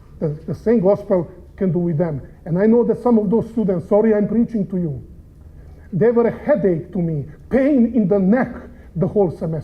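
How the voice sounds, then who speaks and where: Heard with audible room echo, the speaker has a strong non-native accent and ordinary pitch variation. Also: man, high pitch for a man, moderate pace. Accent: heavy foreign. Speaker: preacher and seminary professor. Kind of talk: sermon.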